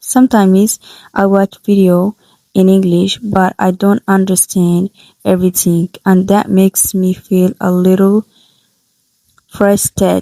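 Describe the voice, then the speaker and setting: Her medium-pitched voice has a dark, mellow tone and a non-native accent, as the woman speaks at a fairly slow pace in a monotone, flat intonation with very even loudness, long, frequent pauses, and a dry, close sound with no echo. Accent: non-native, imperfect pronunciation. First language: not English. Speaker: English learner vlogger. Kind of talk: reading aloud from own notes. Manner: halting, self-correcting.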